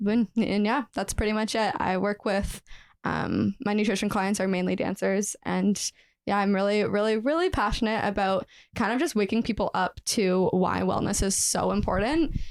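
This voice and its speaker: A woman's normal speaking voice, medium in pitch, with ordinary pitch variation, a moderate pace and very even loudness. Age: 20s. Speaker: professional dancer and nutritionist. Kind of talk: podcast interview.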